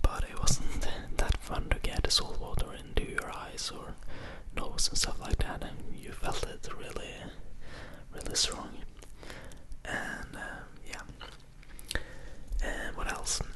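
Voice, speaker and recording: Someone whispers in a soothing tone with a Norwegian accent at a fairly slow pace. There are long, frequent pauses and noticeable background noise. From Norway. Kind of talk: casual talk to camera, vlog. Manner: whispered, soothing.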